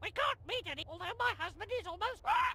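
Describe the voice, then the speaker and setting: A woman's squeaky put-on character voice at an extremely high pitch, with lively intonation and a fairly quick pace over loud background noise. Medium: video game.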